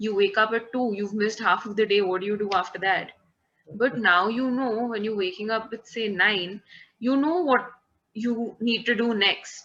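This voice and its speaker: A woman with an Indian accent speaks with ordinary pitch variation. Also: fairly high pitch for a woman, moderate pace. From Kolkata, India. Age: 20s. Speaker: event manager. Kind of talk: interview answer. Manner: casual, mixes Hindi phrases.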